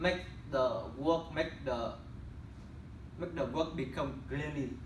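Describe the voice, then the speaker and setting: A man talks at a moderate pace with fairly even intonation. Room echo is audible. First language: not English. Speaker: student presenting internship. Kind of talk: class presentation. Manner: halting.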